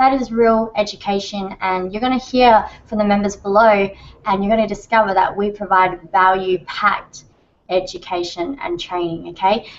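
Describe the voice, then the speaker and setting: A woman with an Australian accent speaks at medium pitch. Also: ordinary pitch variation, moderate pace. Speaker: online marketing trainer and co-founder. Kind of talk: webinar sales pitch. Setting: live video hangout. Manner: animated.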